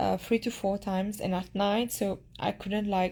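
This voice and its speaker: A woman's medium-pitched voice with a Mauritian accent, dark and mellow in tone, fairly even in intonation and fairly slow in pace, on a very clean recording with a silent background. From Mauritius. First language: Mauritian Creole. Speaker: beauty pageant contestant. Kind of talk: casual chat, live stream Q&A. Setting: live Instagram stream from her room. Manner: halting, with hesitations and repeats.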